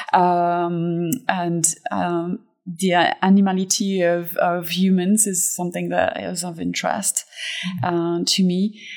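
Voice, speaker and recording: A woman talks at a fairly slow pace in a fairly low pitch. Her intonation stays monotone and flat. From France (Fontainebleau). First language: French. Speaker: admissions director. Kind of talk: interview conversation.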